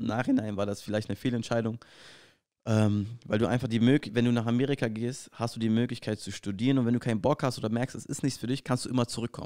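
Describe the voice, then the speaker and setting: Recorded very cleanly against a silent background, a dark, mellow tone moves at a very fast pace with fairly even intonation. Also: man, medium pitch for a man. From Berlin, Germany. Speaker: professional basketball player, podcast co-host. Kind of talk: casual chat.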